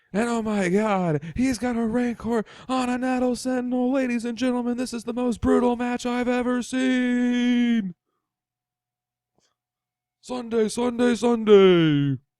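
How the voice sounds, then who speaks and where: At a moderate pace, someone performs a put-on character voice pitched fairly high. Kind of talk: fake wrestling announcer. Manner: bombastic, hyped-up.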